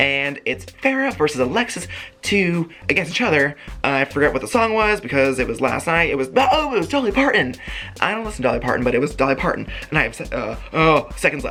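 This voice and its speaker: Music plays behind a man talking at a very fast pace. His pitch is fairly high and swings very widely. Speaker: YouTuber reviewing a TV show. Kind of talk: casual video recap. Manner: mumbling at times.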